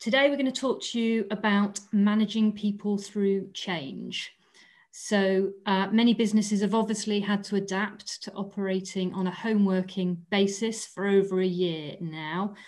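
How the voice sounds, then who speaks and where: This woman keeps a fairly even intonation. She speaks at a moderate pace over a quiet background. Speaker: webinar host, employment lawyer. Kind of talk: webinar introduction. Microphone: video call.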